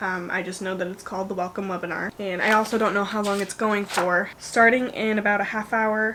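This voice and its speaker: Talking at a fairly quick pace with hardly any pauses, a woman keeps a monotone, flat intonation while noticeable background noise runs underneath. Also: medium pitch for a woman. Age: young. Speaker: lifestyle vlogger. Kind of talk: casual vlog. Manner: rambling, casual with fillers.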